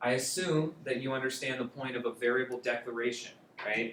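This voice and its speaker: This is a man's voice. His pitch is medium. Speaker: coding bootcamp instructor. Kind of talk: lecture. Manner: fast.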